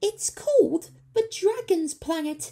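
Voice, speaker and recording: A put-on character voice, squeaky and extremely high-pitched, delivered at a fairly slow pace. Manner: nervous, fearful.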